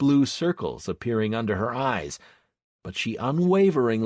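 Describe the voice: Against a quiet background, plain reading aloud moves with lively intonation.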